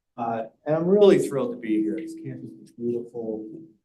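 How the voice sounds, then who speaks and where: There is audible room echo around the voice. A man speaks with very wide pitch swings. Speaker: professor. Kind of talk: lecture.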